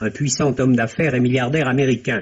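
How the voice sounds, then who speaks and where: The speaker is a man. His pitch sits fairly high. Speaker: film critic. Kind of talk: radio film review, read aloud. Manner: formal, measured, literate. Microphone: old recording.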